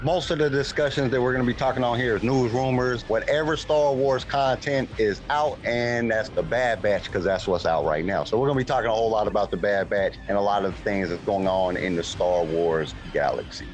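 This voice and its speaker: Against noticeable background noise, a man at medium pitch talks fairly quickly with lively intonation, hardly any pauses and very even loudness. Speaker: podcast host. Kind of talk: casual chat. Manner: animated.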